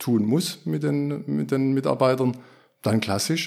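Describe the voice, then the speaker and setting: This man's voice sits at a medium pitch, captured in a very clean recording with a silent background. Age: 50s. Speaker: former classic project manager, agile practitioner. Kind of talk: podcast interview. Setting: studio. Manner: hesitant with fillers.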